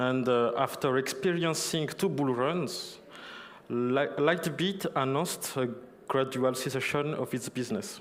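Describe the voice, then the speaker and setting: There is audible room echo around a man with a fairly high pitch. He speaks at a fairly slow pace with ordinary pitch variation. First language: not English. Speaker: conference speaker on crypto compliance. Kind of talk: conference talk. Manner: halting, many fillers.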